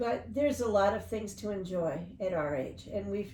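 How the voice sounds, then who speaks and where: Room echo can be heard as a woman speaks at a moderate pace. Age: 70s. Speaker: interview guest sharing life story. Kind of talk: casual interview chat.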